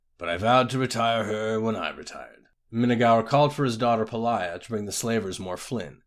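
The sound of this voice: Here is an unforced reading voice with fairly even intonation.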